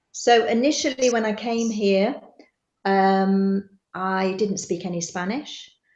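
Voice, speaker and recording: Speaking with a Bristol accent, a woman has a medium pitch. Her intonation stays fairly even. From England, Bristol. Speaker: expat businesswoman. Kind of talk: interview. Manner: hesitant, many fillers.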